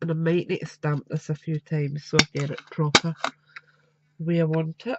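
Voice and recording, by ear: Her voice low in pitch and nasal with vocal fry, a woman speaks with fairly even intonation, a slightly husky edge and a fairly bright tone, the sound dry and close with no echo.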